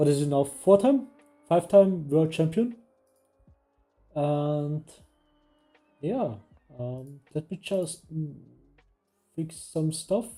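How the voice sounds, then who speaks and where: Very slow speech broken by long, frequent pauses, with music in the background. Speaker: sim racing stream host. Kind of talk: live stream commentary and interview.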